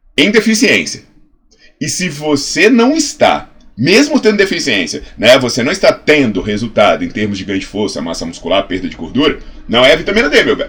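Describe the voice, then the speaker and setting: The speaker talks at a fairly quick pace in an animated tone, with a Brazilian accent. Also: man. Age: 40s. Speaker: health science professor and fitness educator. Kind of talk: educational video monologue.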